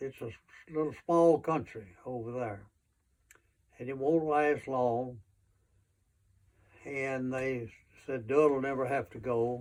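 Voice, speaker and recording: This man talks at a very slow pace with fairly even intonation. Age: 90s. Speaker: war veteran. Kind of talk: oral history interview. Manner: halting.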